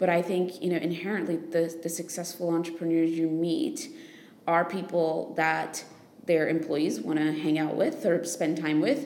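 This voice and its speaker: A woman with an American accent, an ordinary speaking voice, fairly low in pitch, at a moderate pace, with ordinary pitch variation and very even loudness. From United States. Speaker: investor, podcast co-host. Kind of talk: casual improvised podcast chat.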